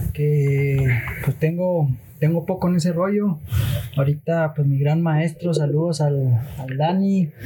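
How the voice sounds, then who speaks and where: A man speaks very slowly at a fairly high pitch with fairly even intonation. Noticeable background noise sits behind him. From Mexico, Chihuahua (Madera). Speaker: art student. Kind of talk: casual chat. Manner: relaxed. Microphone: too quiet, needs to be closer.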